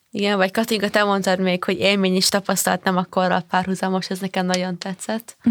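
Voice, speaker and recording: Flat and monotone, a woman speaks at a very fast pace with hardly any pauses, in a dry, close sound with no echo. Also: medium pitch for a woman. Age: young. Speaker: podcast co-host. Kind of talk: casual chat.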